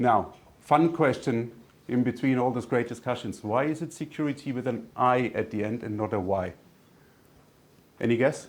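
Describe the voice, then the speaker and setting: A man with a German accent, long, frequent pauses and a very clean recording with a silent background. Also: medium pitch for a man, ordinary pitch variation, moderate pace. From Germany. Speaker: tech company executive. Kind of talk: business presentation.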